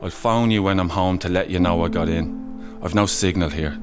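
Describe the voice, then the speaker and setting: Music plays in the background as a man speaks at a moderate pace. His pitch is very deep and low, with ordinary variation. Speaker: narrator. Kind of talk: poetry reading.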